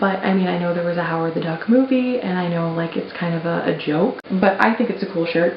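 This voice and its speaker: Someone soft-spoken talks at a fairly quick pace over noticeable background noise. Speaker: YouTuber unboxing collectibles. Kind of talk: casual unboxing vlog. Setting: at home in apartment office.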